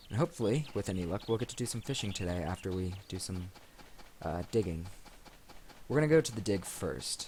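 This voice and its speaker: A somewhat breathy voice mumbles at a fairly quick pace with lively intonation. Long pauses come often. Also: man, very deep, low pitch for a man. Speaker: let's play gamer. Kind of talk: gameplay commentary. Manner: mumbling; low-energy.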